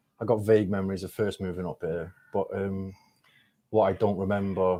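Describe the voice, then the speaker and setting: In a Mancunian accent, a man speaks at a fairly low pitch. His intonation is monotone and flat. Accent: Manchester English. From Swansea, Wales (born in Manchester). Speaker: rapper. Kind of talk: casual podcast interview. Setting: studio. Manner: hesitant, many fillers.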